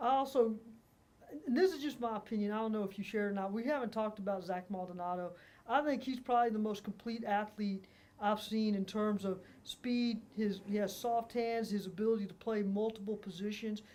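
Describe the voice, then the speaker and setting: A woman with a plain, everyday voice talks at a fairly high pitch with fairly even intonation. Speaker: sports reporter. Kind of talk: interview questions.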